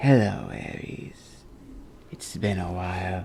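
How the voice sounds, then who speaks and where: In a put-on character voice with a menacing tone, the speaker hisses at a fairly slow pace over clear background noise. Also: man, very deep, low pitch for a man. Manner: hissing, menacing, taunting.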